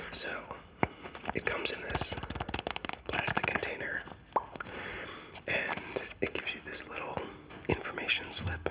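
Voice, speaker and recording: Whispering at a fairly slow pace, with long, frequent pauses, comes through noticeable background noise. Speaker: ASMR content creator. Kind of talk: ASMR rambling talk to camera.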